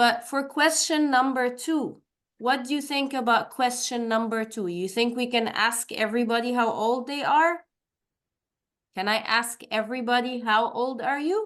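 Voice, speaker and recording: Against a quiet background, a woman speaks in a high voice. She has an Arabic accent and ordinary pitch variation. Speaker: English teacher. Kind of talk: online language class. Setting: video call. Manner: slow.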